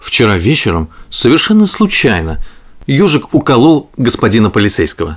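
A man at medium pitch and moderate pace, with very wide pitch swings

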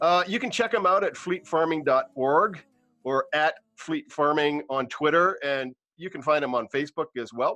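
Here a man has an unremarkable speaking voice, fairly high in pitch. He talks at a moderate pace with lively intonation. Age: 50s. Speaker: podcast host. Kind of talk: casual interview.

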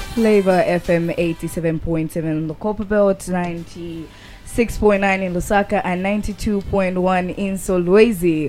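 A woman speaks at a very slow pace with medium pitch and fairly even intonation. Background noise is noticeable. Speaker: radio host. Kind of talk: youth radio talk show. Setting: radio studio.

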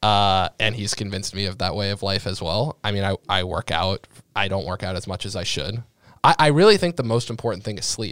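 An ordinary speaking voice: a man with an American accent talks fairly quickly at a fairly low pitch, with ordinary pitch variation. The sound is dry and close, with no echo. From Massachusetts (Sharon, near Boston). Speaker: startup founder in investment platform. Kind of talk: casual interview. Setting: podcast studio.

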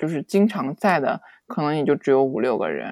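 A woman's fairly low voice with very wide pitch swings, on a very clean recording with a silent background and a dry, close sound with no echo. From China. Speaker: podcast guest, former worker abroad. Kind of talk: casual chat.

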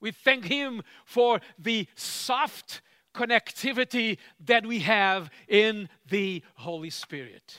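A man's raised, projected, bright and sharp voice at a high pitch, with ordinary pitch variation and a very slow pace, in a dry, close sound with no echo on a very clean recording with a silent background. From Cape Verde. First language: Cape Verdean Creole. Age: old. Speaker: church leader, preacher. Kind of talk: sermon. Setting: retreat gathering with audience.

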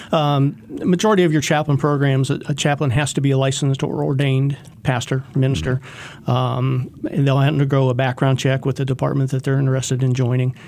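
A man talks at a fairly quick pace with hardly any pauses, at medium pitch and with fairly even intonation. He has an unremarkable speaking voice, and his loudness stays very even. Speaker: police chaplain. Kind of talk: radio interview. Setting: studio.

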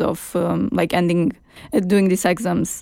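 A woman speaks in a Romanian accent at a medium pitch. Her tone is dark and mellow, and her pace is moderate. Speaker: podcast host. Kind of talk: casual chat. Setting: studio.

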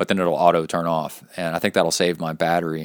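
In a Texas accent, a man speaks at a very deep, low pitch. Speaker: podcast host and triathlete. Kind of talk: casual solo podcast talk. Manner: animated.

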